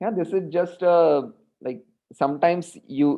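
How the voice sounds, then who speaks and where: At a moderate tempo, a man talks in an ordinary speaking voice, his pitch rising and falling in an ordinary way. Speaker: mathematics lecturer. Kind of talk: online lecture.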